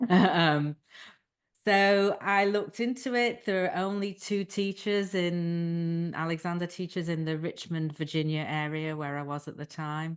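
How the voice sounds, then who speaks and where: Fairly slow speech from a woman with a fairly low pitch and an American accent, against a quiet background. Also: ordinary pitch variation. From England. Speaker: Alexander Technique teacher. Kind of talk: interview. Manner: hesitant, many fillers.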